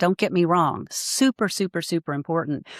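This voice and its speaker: The recording is very clean, with a silent background and a dry, close sound with no echo. A woman speaks at a moderate pace with a fairly low pitch. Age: 60s. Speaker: life coach. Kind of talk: interview conversation. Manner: halting, many repeated words.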